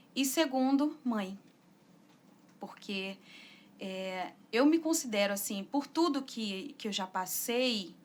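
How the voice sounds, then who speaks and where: Speaking at a very slow pace with long, frequent pauses, a woman uses a fairly high pitch and lively intonation. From Brazil, raised in São Paulo, born Arapiraca, Alagoas. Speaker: singer-songwriter. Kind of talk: interview.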